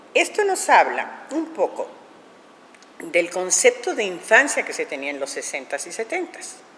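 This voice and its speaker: A woman at a fairly slow pace with big swings in loudness, amid noticeable background noise. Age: 70s. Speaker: puppet theatre director. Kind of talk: interview. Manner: halting.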